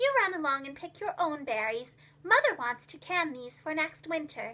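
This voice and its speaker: A woman's put-on character voice, squeaky and extremely high-pitched, with very wide pitch swings, big swings in loudness and a moderate pace. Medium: read story. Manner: brisk, motherly.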